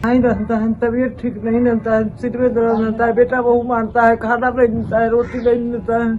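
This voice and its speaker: With music in the background, a woman talks at a moderate pace and a fairly high pitch, her intonation monotone and flat, with hardly any pauses. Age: 70s. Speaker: elderly pensioner. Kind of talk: interview testimony.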